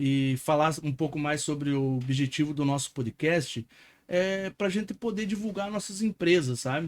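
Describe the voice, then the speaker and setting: In an ordinary speaking voice, a man with a fairly high pitch talks at a fairly slow pace with ordinary pitch variation, on a very clean recording with a silent background. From interior of Paraná, Brazil. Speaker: podcast host and entrepreneur. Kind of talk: casual podcast chat.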